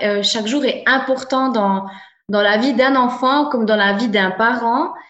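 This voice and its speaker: A woman at a fairly slow pace with ordinary pitch variation, audible room echo and noticeable background noise. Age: 30s. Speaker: soul therapist and coach. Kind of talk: interview.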